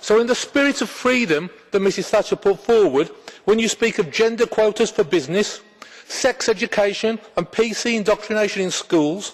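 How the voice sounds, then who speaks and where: A man with a high-pitched voice talks while noticeable background noise fills the clip. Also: ordinary pitch variation, moderate pace. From England. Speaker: politician. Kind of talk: parliamentary speech. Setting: parliament chamber.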